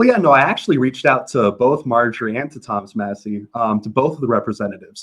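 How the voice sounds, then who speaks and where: A man talks at a medium pitch in an unremarkable speaking voice. His pitch rises and falls in an ordinary way. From US South. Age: 20s. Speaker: congressional candidate. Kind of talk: interview.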